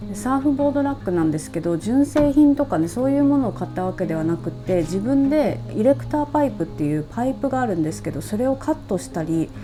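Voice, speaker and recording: A woman talks fairly quickly, with music in the background. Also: hardly any pauses. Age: 40s. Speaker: travel vlogger. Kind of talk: casual talk to camera.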